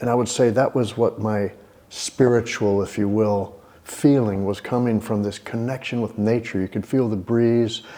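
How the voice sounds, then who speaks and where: Speaking with an American accent, a man has a medium pitch and a dark, mellow tone. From Texas, Houston. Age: 60s. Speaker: yoga teacher. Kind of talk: interview.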